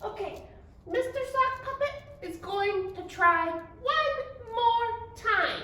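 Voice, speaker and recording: Through light background noise and slight echo, a woman does a cartoonish character voice at an extremely high pitch and a very slow pace. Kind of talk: children's library video. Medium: puppet. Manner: hesitant, flustered.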